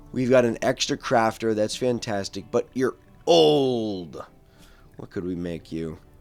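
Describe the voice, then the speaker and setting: Music plays in the background as a man speaks fairly slowly at a medium pitch. His intonation is lively, with big swings in loudness. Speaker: gaming YouTuber. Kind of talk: let's play commentary. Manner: casual, conversational.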